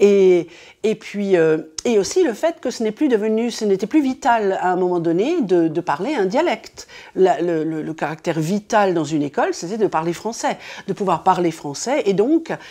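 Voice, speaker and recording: A dark, mellow tone moves through very wide pitch swings at a moderate pace over a quiet background. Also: woman, medium pitch for a woman. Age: 60s. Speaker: retired school head and linguist. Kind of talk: interview testimony. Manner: hesitant, many fillers.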